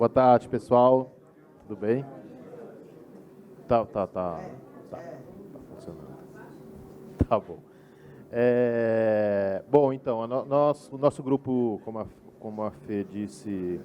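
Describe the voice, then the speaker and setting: Delivered at a very slow pace, the speech has long, frequent pauses, big swings in loudness and ordinary pitch variation. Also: man, medium pitch for a man. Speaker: group rapporteur at architecture debate. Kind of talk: meeting report. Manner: soft-spoken; halting, many repetitions. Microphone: too quiet at first.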